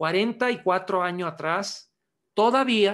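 Ordinary pitch variation in an Italian accent against a quiet background. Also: man. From Italy (Milan); Italy. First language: Italian (speaking Spanish). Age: 60s. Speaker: osteopath and manual therapy teacher; manual therapy teacher. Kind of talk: webinar lecture. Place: home room. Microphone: webcam.

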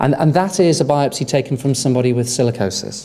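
The intonation from this man is lively. He talks at a moderate pace. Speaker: conference presenter. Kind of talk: lecture. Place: hall. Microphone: podium.

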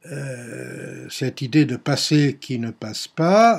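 A somewhat breathy man at a medium pitch, at a very slow pace. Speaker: history teacher. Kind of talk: recorded lecture to students. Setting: at home, on video. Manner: hesitant, many filler sounds. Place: home room. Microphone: webcam.

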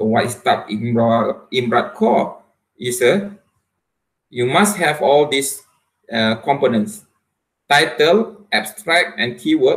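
A man with a Malaysian accent, fairly high-pitched and somewhat breathy, lively in intonation, at a very slow pace with long, frequent pauses, over a quiet background. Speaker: university lecturer and researcher; university lecturer. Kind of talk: academic presentation. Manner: hesitant, frequent fillers. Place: home room. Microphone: webcam.

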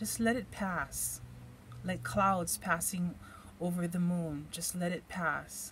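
At a very slow pace, a woman with a Hawaiian accent speaks at a fairly low pitch over light background noise. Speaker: tarot card reader; tarot reader. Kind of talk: tarot reading for viewers; card reading commentary. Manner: relaxed, hesitant with fillers. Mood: calm, gentle, encouraging. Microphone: phone near.

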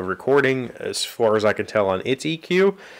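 Lively intonation marks this man's speech. The background is quiet. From West Virginia, US. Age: 30s. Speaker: vlog host. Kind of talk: casual vlog chat. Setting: home studio shed with sound panels. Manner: rambling, halting. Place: workshop. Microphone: studio mic.

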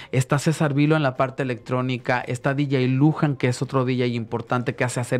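Delivered at a very fast pace, a man's speech holds a very even loudness and a monotone, flat intonation. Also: hardly any pauses. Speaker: singer; guest. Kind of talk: radio interview; interview answer. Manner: halting. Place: studio. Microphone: studio mic.

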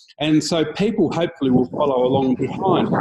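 Against a quiet background, a man talks at a moderate pace in a somewhat breathy voice. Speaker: interviewee. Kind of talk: interview answer. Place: street. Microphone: video call.

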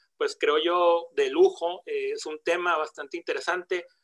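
A man talks at a fairly slow pace, and the background stays quiet. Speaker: seminar host, moderator. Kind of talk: formal introduction of a guest speaker. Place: home room. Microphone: video call.

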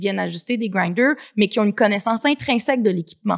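A fairly high-pitched woman with lively intonation over a quiet background. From Quebec City; Quebec. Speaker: coffee entrepreneur; guest. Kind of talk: casual interview. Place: studio. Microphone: studio mic.

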